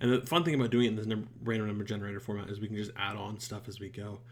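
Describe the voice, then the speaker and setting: A man speaks at a fairly quick pace in a medium-pitched, somewhat breathy voice with fairly even intonation and audible room echo. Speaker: YouTuber reacting to shows. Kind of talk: casual channel update. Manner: halting, many fillers.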